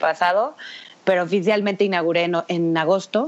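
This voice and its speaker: Here is a woman with an unremarkable speaking voice. Her pitch sits fairly low. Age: 30s. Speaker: fashion stylist and bridal shop founder. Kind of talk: interview.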